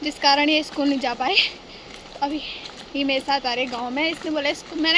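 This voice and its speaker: Over noticeable background noise, a woman uses a raised, projected voice pitched high. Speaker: vlogger. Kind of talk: casual vlog narration. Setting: outdoors, walking to village.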